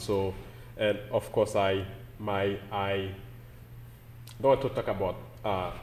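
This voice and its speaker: A man's fairly low voice with a Haitian accent, a very slow pace and ordinary pitch variation. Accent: Caribbean (Haitian). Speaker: pastor. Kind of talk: interview.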